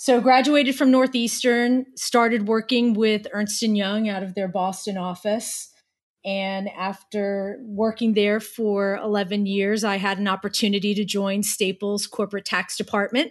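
Using an ordinary speaking voice, a woman with an American accent talks at a fairly slow pace, with medium pitch and fairly even intonation. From New Jersey. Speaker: corporate tax director. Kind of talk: interview.

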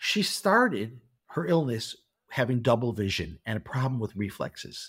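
A somewhat breathy man with a Chicago accent speaks with very wide pitch swings on a very clean recording with a silent background. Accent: Chicago American. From US Midwest, Chicago. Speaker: car mechanic. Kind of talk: interview. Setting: studio.

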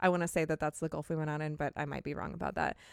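On a very clean recording with a silent background and a dry, close sound with no echo, a woman speaks in an upbeat tone with a Californian accent. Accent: Californian, Valley Girl. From California coast. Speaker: podcast co-host and editor. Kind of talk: casual chat. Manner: laughs often, upbeat.

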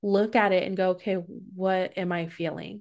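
A woman talks at a moderate pace and medium pitch in a plain, everyday voice. The background is quiet. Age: 30s. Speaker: adult educator and podcast host. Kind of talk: casual interview chat.

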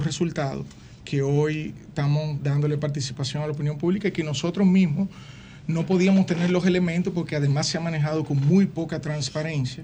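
Speaking at a moderate pace, a man uses a dark, mellow tone at a fairly high pitch. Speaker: publishing industry executive. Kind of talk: interview.

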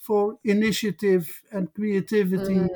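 Here a man is speaking. He has a Dutch accent. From southern Netherlands. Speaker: social historian. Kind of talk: interview. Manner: halting.

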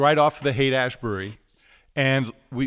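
A man with an American accent speaks at medium pitch with ordinary variation, in an unremarkable speaking voice. The recording is very clean, with a silent background. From New York City. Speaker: record producer and recording engineer. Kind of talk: casual interview chat.

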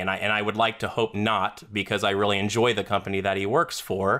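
An unremarkable speaking voice from a man at a fairly quick pace and fairly low pitch, on a very clean recording with a silent background. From US South, Florida. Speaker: trader. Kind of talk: casual chat.

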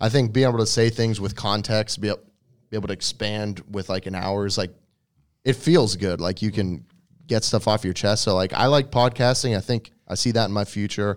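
A man with an American accent talks in a normal speaking voice at a fairly low pitch and fairly quick pace, with ordinary pitch variation, in a very clean recording with a silent background. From New England (outside Boston), then West Virginia. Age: 30s. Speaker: fitness influencer and bodybuilder. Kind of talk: casual chat.

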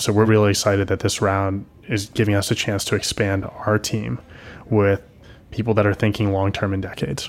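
Fairly quick male speech in an unremarkable speaking voice, fairly low in pitch with fairly even intonation. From US East Coast. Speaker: tech startup founder and CEO. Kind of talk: interview. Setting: office.

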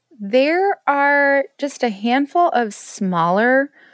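In a very clean recording with a silent background and a dry, close sound with no echo, a high-pitched woman with an American accent speaks very slowly with very wide pitch swings. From Colorado, US (Denver). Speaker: home chef and recipe blogger. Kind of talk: podcast interview.

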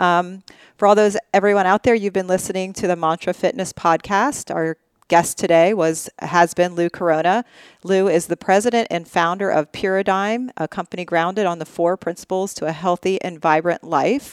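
In a normal speaking voice, a woman talks at a moderate pace with a medium pitch and fairly even intonation. The sound is dry and close with no echo, and the recording is very clean over a silent background. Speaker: podcast host. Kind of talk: interview conversation.

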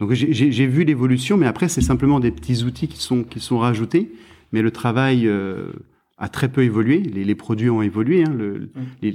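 On a very clean recording with a silent background, a man speaks in a medium pitch with a dark, mellow tone. His intonation is lively and his pace moderate. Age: 40s. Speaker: fruit and vegetable trade specialist. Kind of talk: interview. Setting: at his home. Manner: halting, many repetitions.

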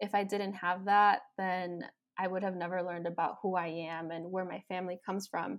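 A woman with a Chicago accent, monotone, flat intonation and a very clean recording with a silent background. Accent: Chicago American English. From Chicago, US Midwest. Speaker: bilingual speech-language pathologist. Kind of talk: interview. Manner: many 'um' fillers.

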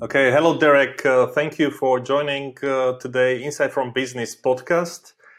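A man talks with hardly any pauses. His intonation is monotone and flat. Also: fairly high pitch for a man, moderate pace, very even loudness. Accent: non-native. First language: not English. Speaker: podcast host. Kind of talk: interview. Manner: halting.

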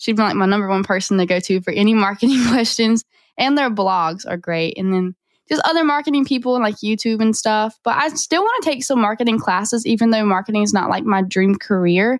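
At a fairly quick pace, a woman with a Southern US accent speaks in a fairly high voice with very even loudness and ordinary pitch variation. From North Carolina. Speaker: auto shop marketer. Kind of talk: casual interview.

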